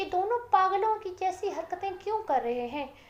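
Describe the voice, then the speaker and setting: Using a put-on character voice, a woman squeaks at an extremely high pitch and a moderate pace. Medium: read story.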